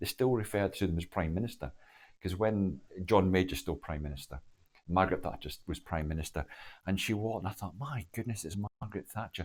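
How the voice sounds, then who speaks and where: Very fast speech from a man with a very deep, low pitch, ordinary pitch variation and a Glaswegian accent, in a very clean recording with a silent background. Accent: Glaswegian Scottish. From Scotland, Glasgow (Cardonald). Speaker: former army officer and diplomat. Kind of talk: interview storytelling. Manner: halting, many false starts.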